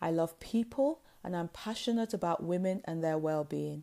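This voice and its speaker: The recording is very clean with a silent background, and a woman speaks at a fairly low pitch in a dark, mellow tone. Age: 50s. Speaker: podcast host and wellness coach. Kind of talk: scripted monologue.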